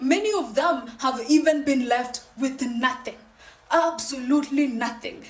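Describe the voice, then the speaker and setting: A woman speaks with a high pitch and ordinary pitch variation. Noticeable background noise is present. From Kenya. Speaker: podcast host. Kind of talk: monologue commentary.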